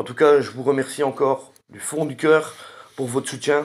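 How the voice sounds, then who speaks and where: A man speaks at a moderate pace. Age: 40s. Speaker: gaming YouTuber. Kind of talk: channel update to viewers. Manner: hesitant, many fillers.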